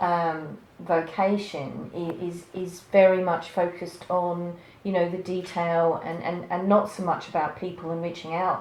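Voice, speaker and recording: Fairly low-pitched and flat in a monotone, a woman talks at a fairly slow pace over noticeable background noise with audible room echo. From UK. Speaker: interviewer and coach. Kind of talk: interview.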